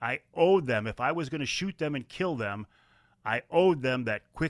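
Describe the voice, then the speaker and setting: Speaking at a moderate pace with lively intonation and an Upper Midwest accent, a man is heard in a very clean recording with a silent background and a dry, close sound with no echo. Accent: Upper Midwest American. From Michigan, Kent County. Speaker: outdoor TV and magazine host. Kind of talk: interview.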